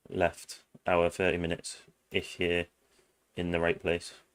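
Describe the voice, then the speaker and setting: A man with a British accent is talking at a moderate pace. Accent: generalised British. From England. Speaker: streamer. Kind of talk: live stream chat. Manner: casual, filler-heavy.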